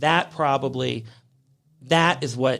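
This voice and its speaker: Someone speaks fairly slowly in a very clean recording with a silent background. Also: man. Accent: American. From US Midwest, Cincinnati, Ohio. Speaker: fashion designer. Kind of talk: interview. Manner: halting.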